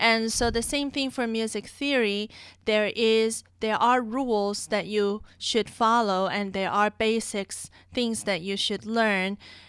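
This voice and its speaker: Recorded very cleanly against a silent background, a woman with a non-native accent speaks at a very slow pace in a fairly high voice with fairly even intonation. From outside the US. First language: not English. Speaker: music teacher. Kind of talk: casual chat.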